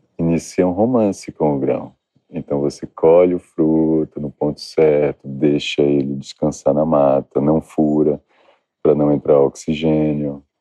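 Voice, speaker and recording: A man speaks with a very deep, low pitch at a fairly slow pace. His intonation stays fairly even. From Bahia, Brazil (Salvador, south Bahia). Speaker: cocoa farmer and chocolate maker. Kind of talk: interview.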